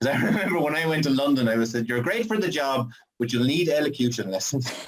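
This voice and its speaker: Through audible room echo, a man with an Irish accent talks at a very fast pace, with a fairly high pitch, lively intonation and very even loudness. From Ireland. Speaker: audience member asking a question. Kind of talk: asking a question on a live show.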